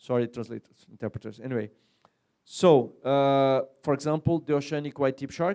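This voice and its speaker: The sound is dry and close with no echo. A man with a fairly high pitch and ordinary pitch variation speaks in a dark, mellow tone. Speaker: fisheries scientist and workshop chair. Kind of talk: conference presentation. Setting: conference hall with interpreters. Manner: fast; halting with many fillers and repetitions.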